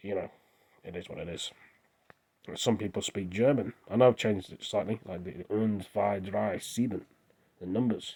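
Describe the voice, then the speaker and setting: A man with an English accent speaks at a fairly low pitch in a dark, mellow tone with vocal fry, ordinary pitch variation, big swings in loudness, and long, frequent pauses. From England. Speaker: vlogger. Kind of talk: casual monologue. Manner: rambling, hesitant.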